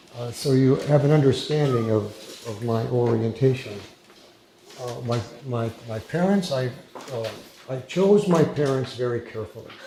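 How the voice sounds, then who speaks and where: A man with an American accent speaks at a moderate pace, with long, frequent pauses and big swings in loudness. The room echoes audibly, and background noise is noticeable. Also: medium pitch for a man, ordinary pitch variation. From United States. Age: 70s. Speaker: former FBI hostage negotiator, social work lecturer. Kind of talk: lecture. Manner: hesitant, many fillers; informal.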